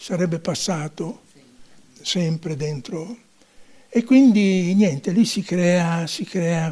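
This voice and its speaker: Against a quiet background, a man speaks in a high pitch with a dark, mellow tone and ordinary pitch variation. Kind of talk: interview answer. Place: home room. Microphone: handheld.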